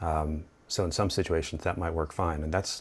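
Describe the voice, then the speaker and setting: On a very clean recording with a silent background, a man with a very deep, low pitch speaks at a moderate pace, somewhat breathy. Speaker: photography video creator. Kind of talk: tutorial.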